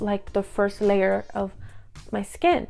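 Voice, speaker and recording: Music plays in the background as a woman with an American accent speaks with fairly even intonation. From Inglewood, California. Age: 20s. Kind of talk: casual talk to camera.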